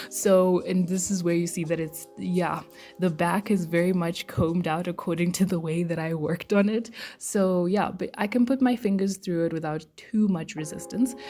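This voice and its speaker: Music plays in the background. A woman with a fairly low pitch talks at a moderate pace. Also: ordinary pitch variation. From Zimbabwe. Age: 20s. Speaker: student vlogger. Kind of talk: beauty tutorial.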